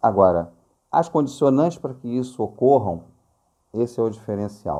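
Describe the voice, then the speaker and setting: A man talks at a moderate pace in a dark, mellow tone. His medium pitch shows ordinary pitch variation. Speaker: spiritist lecturer. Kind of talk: lecture. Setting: recorded video.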